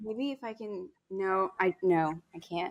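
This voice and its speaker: A woman speaks with an American accent. Her pitch sits in the medium range. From US, Swedish American family. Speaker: speed painter. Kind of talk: podcast interview. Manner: loud; animated.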